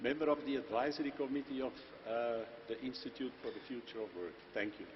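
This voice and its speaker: Talking at a very fast pace, a man with a Belgian accent keeps to a medium pitch. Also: ordinary pitch variation. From Belgium. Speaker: company managing director. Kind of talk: panel discussion.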